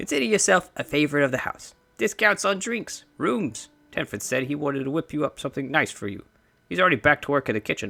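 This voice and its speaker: A man does a put-on character voice at a fairly high pitch, racing at a very fast pace with very wide pitch swings. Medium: read story. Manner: warm, effusive.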